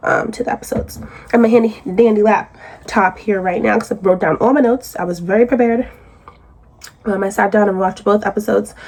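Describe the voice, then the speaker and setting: A woman talks very fast at a medium pitch with ordinary pitch variation. Noticeable background noise runs behind her. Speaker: YouTube reality TV commentator. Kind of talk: casual recap commentary. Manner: conversational, filler-heavy.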